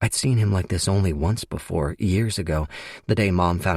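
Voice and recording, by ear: In a natural voice, the passage is read aloud with ordinary shifts in pitch.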